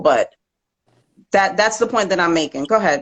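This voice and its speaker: Her intonation lively, a woman with an unremarkable speaking voice speaks at medium pitch and a fairly quick pace. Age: 40s. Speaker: caller on a live stream. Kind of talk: casual chat.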